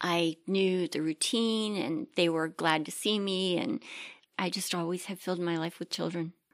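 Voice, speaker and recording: A woman with an unremarkable speaking voice talks at a fairly low pitch and moderate pace, with ordinary pitch variation. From Maryland, Chesapeake Bay. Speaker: church member, grandmother. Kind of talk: casual interview.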